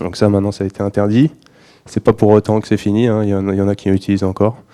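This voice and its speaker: The man's pitch is fairly low. His intonation stays monotone and flat. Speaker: environmental activist giving a talk. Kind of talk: conference presentation. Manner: halting, many fillers.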